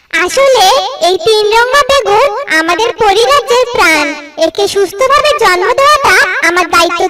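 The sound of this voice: A cartoonish character voice with an extremely high pitch talks at a moderate pace.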